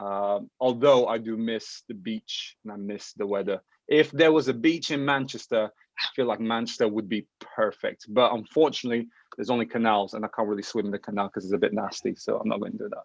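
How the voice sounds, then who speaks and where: A man talks at a fairly quick pace with a Portuguese accent. His pitch is medium with ordinary variation, and the sound is dry and close with no echo. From Portugal. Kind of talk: casual interview. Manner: animated.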